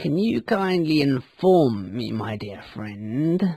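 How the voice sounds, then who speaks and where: A man's put-on character voice, fairly high in pitch, at a very slow pace. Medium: read story. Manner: menacing.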